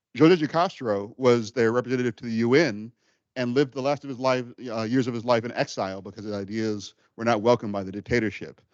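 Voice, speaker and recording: A man at a fairly quick pace, with ordinary pitch variation and a dry, close sound with no echo. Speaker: guest lecturer on food justice. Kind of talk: lecture. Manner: fast.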